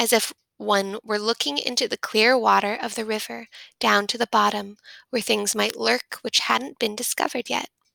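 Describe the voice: A plain reading aloud unfolds against a quiet background.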